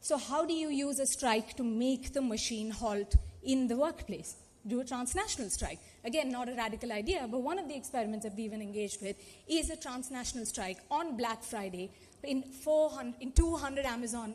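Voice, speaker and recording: Fairly quick speech in a Telugu accent, with ordinary pitch variation over noticeable background noise. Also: woman, high pitch for a woman. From India, Telugu-speaking region. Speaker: activist panelist. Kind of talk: conference panel talk. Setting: conference auditorium.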